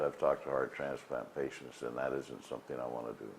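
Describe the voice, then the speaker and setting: A man is speaking. His voice has vocal fry. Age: 60s. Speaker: heart patient. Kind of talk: interview testimony. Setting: hospital. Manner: halting.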